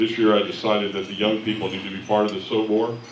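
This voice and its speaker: A man at a moderate pace amid noticeable background noise and audible room echo. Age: 60s. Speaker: bishop. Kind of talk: convention address.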